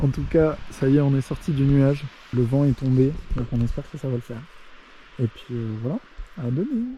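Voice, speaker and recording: This man has a fairly high, somewhat breathy voice with a dark, mellow tone. He speaks at a moderate pace with ordinary pitch variation and long, frequent pauses. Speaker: hiking vlogger. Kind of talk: casual talk to camera.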